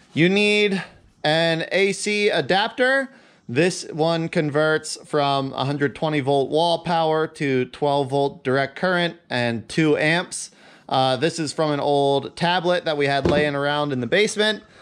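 A man's very slow speech with ordinary pitch variation against a quiet background. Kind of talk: tutorial. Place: garage.

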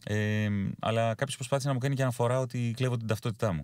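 A man talks at a very fast pace with a medium pitch and ordinary pitch variation. The sound is dry with no echo. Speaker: voice-over announcer. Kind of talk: casual interview chat. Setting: Skype call from a snowy mountain home. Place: car.

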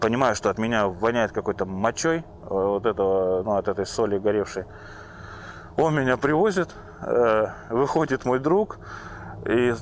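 At a moderate pace, a man of medium pitch talks with lively intonation over light background noise. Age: 30s. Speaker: recovering drug addict. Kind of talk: personal testimony. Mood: reflective, slightly amused. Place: forest. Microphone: lapel.

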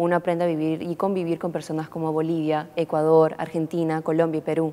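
A woman's fairly low voice at a fairly quick pace. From Peru. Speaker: international college student. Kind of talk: interview. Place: studio. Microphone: lapel.

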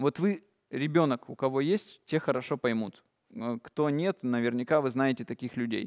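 A man's animated voice at medium pitch, with ordinary pitch variation, moderate pace and a quiet background. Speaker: meditation course leader; presenter. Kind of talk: lecture. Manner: animated, gestures a lot. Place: hall.

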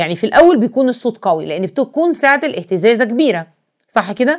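In an Egyptian accent, a woman speaks in an animated tone with very wide pitch swings. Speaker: teacher. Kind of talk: lecture.

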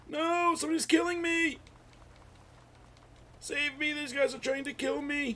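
A man in a put-on character voice speaks at a moderate pace with extremely high pitch and long, frequent pauses. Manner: confused, indignant, shouting.

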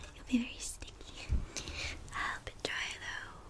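A soft-spoken woman whispers at a fairly slow pace. Light background noise is present. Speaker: roleplay host. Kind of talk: soft roleplay talk to the viewer. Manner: soft intimate ASMR whisper. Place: home room. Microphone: phone near.

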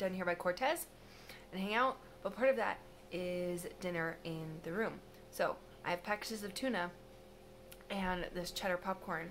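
Long, frequent pauses mark this moderate-paced speech, which has ordinary pitch variation and light background noise. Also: woman. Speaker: travel vlogger. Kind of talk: casual vlog chat. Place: home room. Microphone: phone near.

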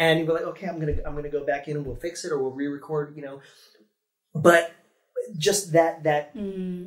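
A man speaks with an American accent at a fairly quick pace, his pitch fairly high and his intonation fairly even. Long, frequent pauses break up his speech against a quiet background. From Ohio. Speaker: theme park performer; guest. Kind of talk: casual interview; interview answer. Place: meeting room.

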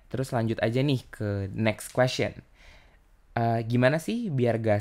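A man's fairly slow, fairly even-toned delivery. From Indonesia. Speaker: podcast host. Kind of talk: casual chat. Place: home room. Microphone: studio mic.

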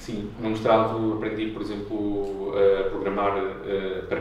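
A man speaks with audible room echo. There is light background noise. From Portugal, Aveiro. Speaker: curator and artist. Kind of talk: public conversation. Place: empty room.

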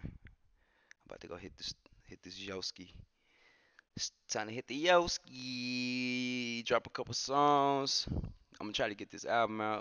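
Over a quiet background, a man talks at a moderate pace in a dry sound with no echo. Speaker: game streamer. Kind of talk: casual stream sign-off chat. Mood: relaxed, reflective. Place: home room. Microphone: headset.

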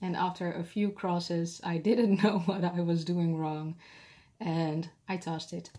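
Speaking slowly with a Dutch accent, a woman has a fairly low pitch, a dark, mellow tone and fairly even intonation.

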